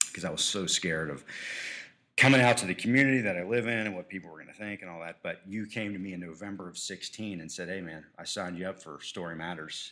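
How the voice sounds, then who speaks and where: At a very fast pace, a man with a very deep, low pitch speaks in a bright, sharp tone with ordinary pitch variation. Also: big swings in loudness. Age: 40s. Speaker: podcaster in addiction recovery. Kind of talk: interview.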